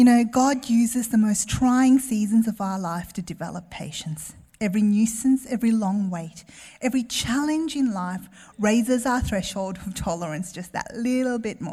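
With an Australian accent, a woman speaks in a fairly high pitch with a dark, mellow tone, somewhat breathy and with big swings in loudness. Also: ordinary pitch variation, moderate pace. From Melbourne, Australia. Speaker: guest preacher. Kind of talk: sermon. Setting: church with congregation.

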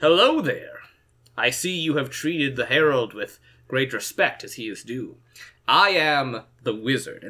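At a moderate pace, a man uses a fairly high put-on character voice. He takes long, frequent pauses. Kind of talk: formal, courtly.

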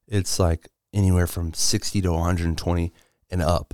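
In a very clean recording with a silent background and a dry, close sound with no echo, a man with a very deep, low voice talks at a fairly quick pace. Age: 20s. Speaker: podcast host. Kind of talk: casual solo chat. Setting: studio.

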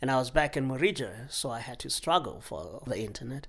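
The recording is very clean, its background silent. A man does the talking. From Lesotho. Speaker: spouse of former Peace Corps volunteer. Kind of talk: casual interview.

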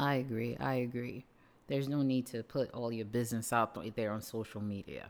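With a New York accent, a woman speaks in a very deep, low voice. Her pace is moderate and her intonation fairly even. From Brooklyn, New York (Canarsie). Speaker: parent and podcast guest. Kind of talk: casual chat.

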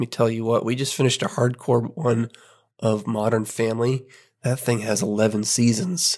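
With a quiet background, a man talks in a normal speaking voice at medium pitch, keeping a moderate pace and fairly even intonation. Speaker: podcast host. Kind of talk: casual chat.

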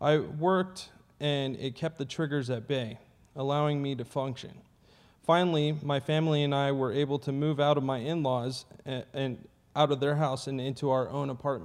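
An unremarkable speaking voice from a man, pitched fairly high, moderate in pace, with fairly even intonation. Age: 30s. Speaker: Navy veteran sharing recovery testimony. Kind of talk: testimony.

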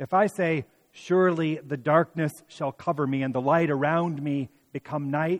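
In an ordinary speaking voice, a man talks at a moderate pace with fairly high pitch and fairly even intonation. The sound is dry and close with no echo, over a quiet background. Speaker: pastor. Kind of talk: sermon with scripture reading. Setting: church midweek worship service. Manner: warm, conversational preaching.

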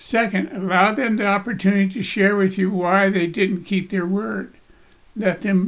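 At a fairly slow pace, a man with a high pitch speaks with ordinary pitch variation. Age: 70s. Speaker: business and life coach. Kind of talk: solo podcast monologue. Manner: folksy, conversational.

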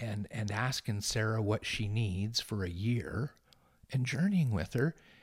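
Somewhat breathy in tone, a man delivers his words at a very slow pace. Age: 50s. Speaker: charity director and former pastor. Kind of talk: casual interview.

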